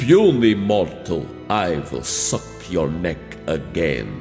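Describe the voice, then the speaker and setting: Over clear background music, a man uses a put-on character voice, very deep and low in pitch, at a very slow pace. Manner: spooky, menacing.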